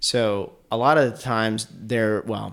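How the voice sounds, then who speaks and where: Here is a man with an American accent. His voice is fairly low in pitch and is a plain, everyday voice. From Asheville, North Carolina. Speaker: filmmaker. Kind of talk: casual interview chat.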